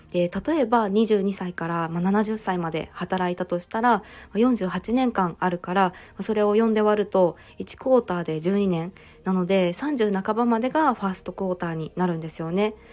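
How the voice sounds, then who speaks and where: A woman with an ordinary speaking voice holds a medium pitch, showing ordinary pitch variation at a moderate pace. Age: 30s. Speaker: podcaster and working mother. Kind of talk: solo podcast talk. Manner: frequent fillers.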